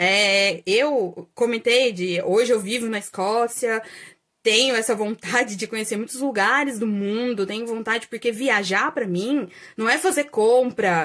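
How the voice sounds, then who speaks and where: A woman's fairly high voice at a fairly slow pace, with ordinary pitch variation, in a very clean recording with a silent background. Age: 30s. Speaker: astrologer and holistic therapist, video creator. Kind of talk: casual vlog monologue. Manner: hesitant, many fillers.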